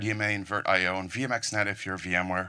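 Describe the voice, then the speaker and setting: A man with a fairly low pitch and a bright, sharp tone speaks at a fairly quick pace on a very clean recording with a silent background. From Netherlands. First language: Dutch. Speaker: conference speaker, network engineer. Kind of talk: technical conference talk. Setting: stage with audience.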